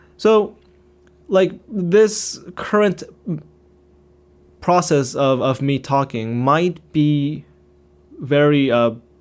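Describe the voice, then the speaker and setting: Speaking at a very slow pace with long, frequent pauses, a man uses lively intonation and a fairly high pitch on a very clean recording with a silent background. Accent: Korean. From Korea. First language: Korean. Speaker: YouTuber. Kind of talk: unscripted monologue. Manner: halting, stuttering.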